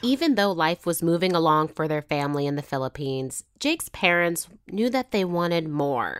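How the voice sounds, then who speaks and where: A woman with a normal speaking voice talks at a moderate pace and fairly low pitch, with lively intonation and hardly any pauses. The recording is very clean with a silent background, and the sound is dry and close with no echo. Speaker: podcast host. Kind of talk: narrated storytelling with casual chat. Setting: in-person interview at a home.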